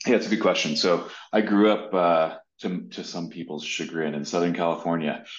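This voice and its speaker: A man with a very deep, low pitch, fairly even intonation and a fairly quick pace. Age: 30s. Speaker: startup founder and CEO. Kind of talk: interview.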